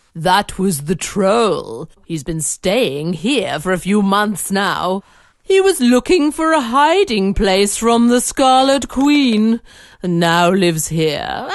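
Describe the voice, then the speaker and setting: In a put-on character voice that sounds female, the speaker talks at a medium pitch for a woman and a very slow pace. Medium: audio drama. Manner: gentle, grandmotherly.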